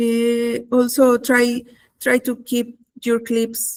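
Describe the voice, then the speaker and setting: A woman with a high-pitched voice speaks with a non-native accent. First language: not English. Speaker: content creator. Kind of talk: webinar tutorial. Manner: halting, many fillers.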